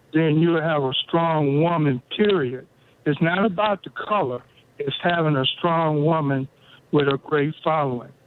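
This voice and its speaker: At a fairly slow pace, a normal speaking voice moves with ordinary pitch variation. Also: man, fairly high pitch for a man. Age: 60s. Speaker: caller. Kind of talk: call-in talk radio.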